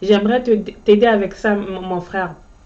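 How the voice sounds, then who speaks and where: A woman's medium-pitched voice, in a non-native accent, at a fairly slow pace. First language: Ndyuka (Djuka) (speaking French). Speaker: motivational vlogger. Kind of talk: motivational monologue. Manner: halting, frequent repetitions.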